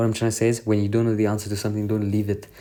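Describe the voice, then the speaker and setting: A man talks with a dark, mellow tone at a fairly low pitch. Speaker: tutor. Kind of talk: recorded lesson summary. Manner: fast.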